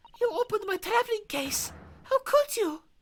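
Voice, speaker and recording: A squeaky, put-on character voice at a moderate pace, with very wide pitch swings and a dry, close sound with no echo. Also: woman, extremely high pitch for a woman. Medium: game stream. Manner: shrill, dramatic.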